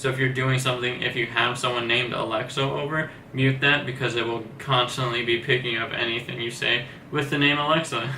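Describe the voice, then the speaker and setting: A man talks at a fairly quick pace with a medium pitch and monotone, flat intonation, with audible room echo and noticeable background noise. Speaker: tech reviewer. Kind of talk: product review. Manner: soft-spoken; casual.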